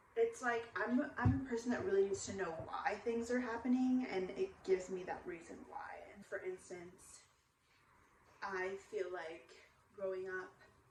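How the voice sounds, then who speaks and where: The voice moves at a fairly slow pace with ordinary pitch variation and big swings in loudness. Noticeable background noise runs underneath. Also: woman, medium pitch for a woman. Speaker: vlogger. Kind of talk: casual vlog monologue. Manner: frequent filler um.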